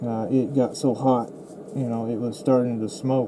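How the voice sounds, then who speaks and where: Over noticeable background noise, a man talks at a moderate pace and medium pitch. His tone is relaxed. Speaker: resin crafter, small online shop owner. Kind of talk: casual crafting tutorial narration. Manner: relaxed, hesitant.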